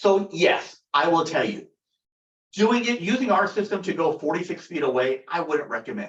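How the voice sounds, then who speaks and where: Loud speech with lively intonation at a moderate pace. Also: man, high pitch for a man. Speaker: company product director presenting. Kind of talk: webinar product discussion. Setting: video call webinar. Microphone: echoey room.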